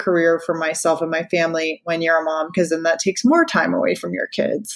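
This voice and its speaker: Here a woman speaks in a normal speaking voice with an American accent. Her pitch is fairly low and her pace moderate. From Florida, US. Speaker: radio personality. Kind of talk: interview. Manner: casual, many fillers.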